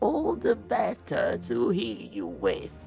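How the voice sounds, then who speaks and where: Over clear background noise, a man uses a put-on character voice at a very slow pace. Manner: fake, sweetly deceptive.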